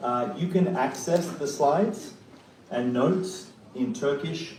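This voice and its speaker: In a room with audible echo and noticeable background noise, a man speaks fairly slowly at a fairly high pitch with very wide pitch swings. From Australia. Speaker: professor. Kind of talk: keynote lecture. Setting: conference hall with audience.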